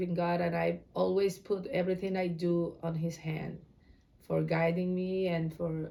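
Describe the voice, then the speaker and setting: In a room with audible echo, a woman with an Ecuadorian accent talks at a fairly slow pace, her fairly low voice dark and mellow, her intonation fairly even. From Ecuador, Guayaquil. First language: Spanish. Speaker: Spanish teacher. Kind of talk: interview.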